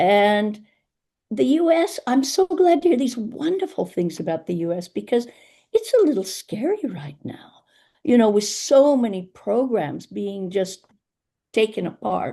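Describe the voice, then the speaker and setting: Her dark, mellow tone sits at a fairly high pitch as this woman talks at a fairly slow pace with very wide pitch swings against a quiet background. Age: 70s. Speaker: community elder and placemaker. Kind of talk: webinar panel talk.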